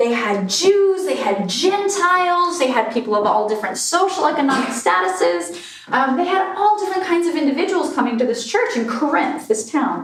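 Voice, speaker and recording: A woman keeps a moderate pace, her pitch swinging very widely against noticeable background noise. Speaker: minister giving a sermon. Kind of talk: church sermon.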